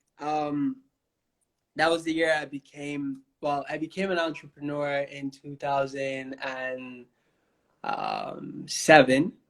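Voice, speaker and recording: Very slowly, a man speaks in a fairly high pitch with monotone, flat intonation. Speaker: author. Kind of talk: interview. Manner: halting, with many fillers.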